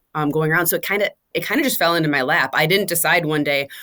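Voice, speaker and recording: A woman's fairly low voice with ordinary pitch variation. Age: 30s. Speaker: podcast guest, social media commentator. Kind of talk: interview conversation. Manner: fast; direct.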